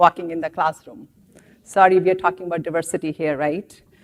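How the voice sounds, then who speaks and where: A woman speaks with an Indian accent. The sound is dry and close, with no echo. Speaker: professor. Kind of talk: lecture. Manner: halting.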